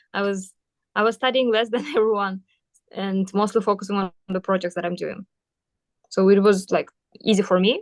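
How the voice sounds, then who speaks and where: A woman's medium-pitched voice with a Kyrgyz accent, fairly even intonation, a moderate pace and long, frequent pauses, in a dry, close sound with no echo. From Kyrgyzstan, Batken region (south). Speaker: university student. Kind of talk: interview. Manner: hesitant with fillers.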